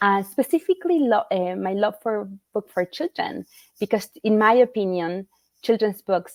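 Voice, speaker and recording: A woman speaks with a Spanish accent in a dry, close sound with no echo. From Argentina, Rosario. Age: 40s. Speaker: children's book author. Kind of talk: interview.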